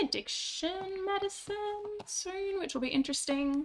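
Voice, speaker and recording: A woman's raised, projected voice, bright and sharp in tone, comes at a very slow pace. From Western Australia. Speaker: streamer. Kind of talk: casual chat.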